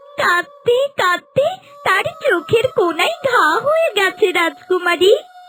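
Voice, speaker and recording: In a cartoonish character voice, the speaker talks at a very slow pace with an extremely high pitch. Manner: concerned, respectful.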